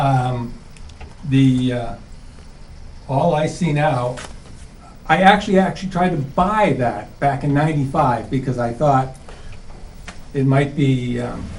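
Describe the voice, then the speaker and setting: This voice carries a New England accent and ordinary pitch variation. Long, frequent pauses break up the speech, and the room echo is audible. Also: man. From New England, central Massachusetts. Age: 60s. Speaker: resident. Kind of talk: public meeting testimony. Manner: halting.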